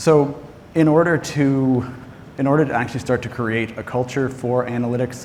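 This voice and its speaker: A man with a Nova Scotian accent at a fairly quick pace, amid audible room echo and noticeable background noise. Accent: Atlantic Canadian (Nova Scotian). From Canada, Nova Scotia (east coast). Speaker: health data executive. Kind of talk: conference talk. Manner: fast.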